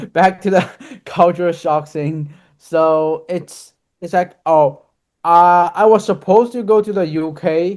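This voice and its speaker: A man with a Chinese accent, high-pitched, at a fairly slow pace with fairly even intonation. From China. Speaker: university student. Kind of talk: casual chat.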